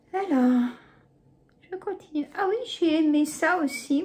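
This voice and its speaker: A woman speaks at a very slow pace. Her high-pitched voice has lively intonation. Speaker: YouTuber, shopping haul vlogger. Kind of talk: casual haul chat to camera. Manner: chatty, hesitant with many euh.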